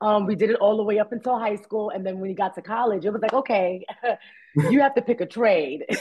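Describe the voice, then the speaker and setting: A woman talks at a very fast pace with a Bronx accent. Her pitch is fairly high, with ordinary pitch variation. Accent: New York, Bronx. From New York, the Bronx. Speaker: actress. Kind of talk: interview. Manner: animated.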